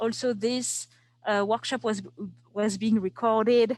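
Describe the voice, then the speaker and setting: In a French accent, a woman with a fairly high voice speaks at a very slow pace against a quiet background. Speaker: archives preservation specialist teaching a workshop. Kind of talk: online workshop tutorial. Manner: hesitant, many fillers.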